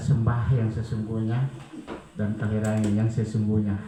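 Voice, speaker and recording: In a monotone, flat delivery at a moderate pace, a man talks with audible room echo and noticeable background noise. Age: 60s. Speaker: church member giving testimony. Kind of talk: testimony.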